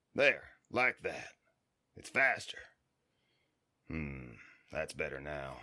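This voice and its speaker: A man in a put-on character voice talks raspily in a calm tone at a fairly slow pace, with long, frequent pauses. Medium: audio drama. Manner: calm, laconic.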